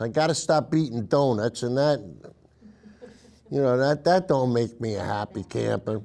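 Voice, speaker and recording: A very clean recording captures a man against a silent background. His pitch swings very widely at a moderate speed. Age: 60s. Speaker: political commentary show host. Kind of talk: casual monologue. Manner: halting, many fillers.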